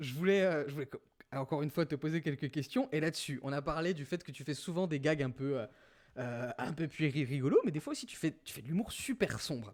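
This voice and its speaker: The man's voice has a fairly high pitch and ordinary pitch variation. It is a very clean recording with a silent background. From rural France. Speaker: podcast host drawing game show. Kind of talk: casual chat. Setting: livestream with chat. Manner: hesitant, many fillers.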